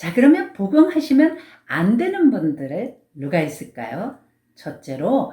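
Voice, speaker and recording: A woman's dark, mellow voice at a fairly slow pace, with very wide pitch swings and vocal fry. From Gangwon Province, Korea. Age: old. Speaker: Korean medicine doctor. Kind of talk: health advice talk.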